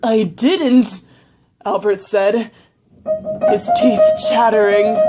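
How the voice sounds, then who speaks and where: Music is in the background. The talking goes at a very slow pace. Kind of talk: old-time radio theatre spoof, scary story narration.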